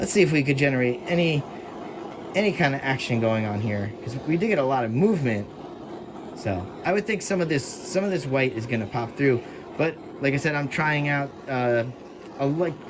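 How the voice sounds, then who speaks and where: With noticeable background noise, a man with fairly high pitch and lively intonation talks in long, frequent pauses. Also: fairly quick pace. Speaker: fluid art painter, tutorial creator. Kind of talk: tutorial. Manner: casual, conversational.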